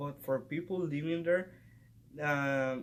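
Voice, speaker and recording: A man talks in a fairly high pitch with a Spanish accent. His intonation is fairly even. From Mexico. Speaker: student. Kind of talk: class presentation vlog.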